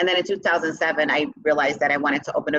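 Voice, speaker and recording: A woman with a Chicago accent speaks at a very deep, low pitch. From Chicago, south side. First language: Spanish. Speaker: business owner and CEO. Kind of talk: interview.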